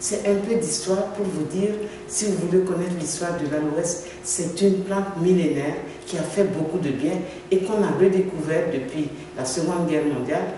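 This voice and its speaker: In a room with audible echo and noticeable background noise, a woman speaks in a fairly low voice. Her pace is moderate and her intonation fairly even. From Africa. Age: 60s. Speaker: product distributor. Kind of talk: sales pitch. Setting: café meetup, on camera.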